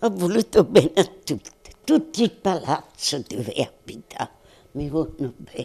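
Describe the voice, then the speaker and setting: A woman speaks at a fairly low pitch in a dark, mellow tone. Her pitch swings very widely and her loudness rises and falls sharply. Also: moderate pace. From Montella, province of Avellino, Italy. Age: 80s+. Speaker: centenarian being interviewed. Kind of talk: interview answer. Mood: warm, reminiscing. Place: home room. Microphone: handheld.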